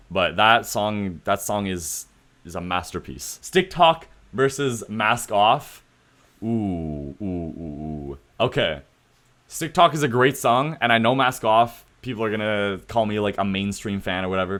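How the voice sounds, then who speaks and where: In a Canadian accent, a man with a fairly low pitch uses lively intonation in a normal speaking voice, recorded very cleanly against a silent background. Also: fairly slow pace. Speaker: streamer / YouTuber. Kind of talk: casual commentary on livestream. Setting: livestream with chat. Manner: casual, filler-heavy.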